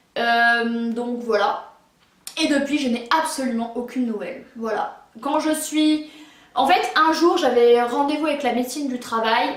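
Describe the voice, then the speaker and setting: Her voice is high-pitched, with ordinary pitch variation. The woman speaks fairly slowly, and room echo is audible. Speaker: YouTuber. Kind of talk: personal story vlog. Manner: stuttering, halting.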